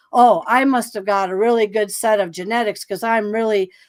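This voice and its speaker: Using an unremarkable speaking voice, a woman talks at a moderate pace in a fairly high pitch with ordinary pitch variation. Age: 60s. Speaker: psychic guest on a paranormal podcast. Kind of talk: interview, personal life story. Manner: casual, with many fillers and restarts.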